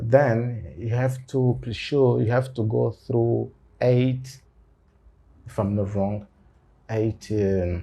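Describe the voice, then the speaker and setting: A man's somewhat breathy voice, dark and mellow in tone, at medium pitch, very slow, with long, frequent pauses. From Angola. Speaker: lawyer and university lecturer. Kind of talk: interview. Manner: halting, many fillers.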